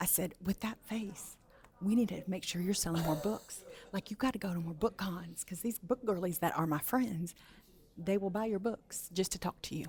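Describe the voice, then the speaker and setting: Her voice is somewhat breathy, set at a medium pitch with ordinary pitch variation. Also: moderate pace. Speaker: book content creator interviewer. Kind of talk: interview. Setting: book event. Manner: animated.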